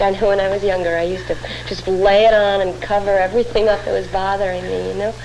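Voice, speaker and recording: Over noticeable background noise, a woman speaks at a medium pitch and a fairly quick pace. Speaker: actress. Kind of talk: scripted dialogue in an instructional film.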